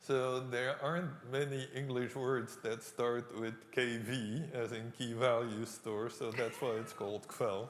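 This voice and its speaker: With a non-native accent, a man speaks at a medium pitch and fairly slow pace, with fairly even intonation and hardly any pauses. Audible room echo surrounds his voice. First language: not English. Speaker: professor. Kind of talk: lecture Q&A.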